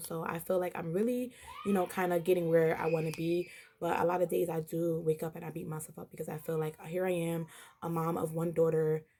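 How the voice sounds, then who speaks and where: A woman's fairly low voice, fairly quick and fairly even in intonation, over noticeable background noise. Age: 20s. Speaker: vlogger. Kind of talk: casual vlog talk to camera. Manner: hesitant, many fillers.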